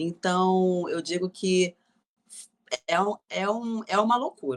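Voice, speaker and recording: A woman with a fairly low pitch speaks at a very slow pace. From Rio de Janeiro. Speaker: actress and gospel singer. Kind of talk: interview answer.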